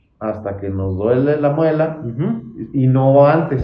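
A man talks at a very slow pace with ordinary pitch variation. Audible room echo surrounds his voice. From Mexico, Chihuahua (Santa Bárbara). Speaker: podcast host. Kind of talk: casual interview. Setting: office visit.

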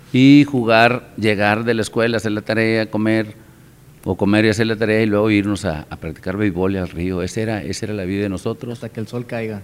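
A man with a normal speaking voice keeps a fairly quick pace, his fairly low pitch held in fairly even intonation. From Mexico, Nuevo León (San Juan, Cadereyta). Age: 50s. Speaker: amateur baseball association president. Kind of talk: casual interview.

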